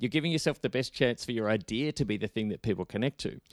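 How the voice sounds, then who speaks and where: With an ordinary speaking voice at medium pitch, a man speaks with lively intonation, his sound dry and close with no echo on a very clean recording with a silent background. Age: 40s. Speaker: on-camera presentation coach. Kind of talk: casual interview.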